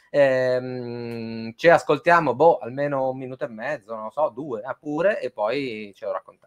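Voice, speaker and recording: A man speaks at a fairly slow pace against a quiet background. His loudness swings a lot, while his pitch varies in an ordinary way. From northern Italy (Piedmont, Domodossola); Piedmont, Italy. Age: 30s. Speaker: music journalist, live stream host. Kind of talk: live stream interview. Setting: studio, video call with guests. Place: home room. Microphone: webcam.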